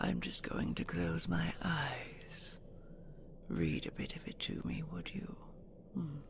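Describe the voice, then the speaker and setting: Whispering in a put-on character voice at a fairly slow pace, the speaker is heard over loud background noise. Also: woman. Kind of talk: audio roleplay. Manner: soft-spoken, coaxing.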